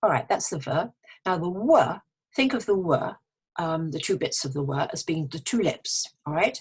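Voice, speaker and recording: Somewhat breathy and fairly low-pitched, a woman talks at a moderate pace with lively intonation. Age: old. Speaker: English pronunciation teacher. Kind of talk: tutorial. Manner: clear.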